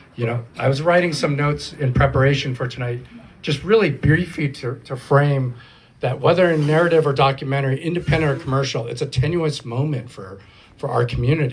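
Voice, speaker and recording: The voice is somewhat breathy, with ordinary pitch variation and a fairly quick pace. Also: man, fairly high pitch for a man. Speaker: panel moderator, film programs director. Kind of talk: panel moderation at live event. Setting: live event with audience, single microphone.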